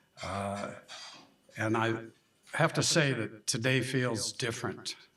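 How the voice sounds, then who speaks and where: Through audible room echo, a man with an American accent speaks at a very slow pace in a bright, sharp tone with fairly even intonation. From US Midwest, Omaha, Nebraska. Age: 80s+. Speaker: scholarship donor. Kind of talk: speech.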